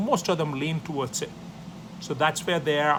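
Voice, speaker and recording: A man's fairly high voice at a moderate pace, with audible room echo. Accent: South Indian. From South India. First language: Tamil. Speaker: professor. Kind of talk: lecture.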